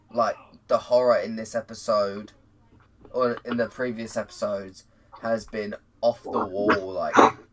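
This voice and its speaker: The speech moves at a fairly slow pace with long, frequent pauses. Noticeable background noise runs underneath. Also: man. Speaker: YouTube TV show reviewer. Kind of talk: casual discussion.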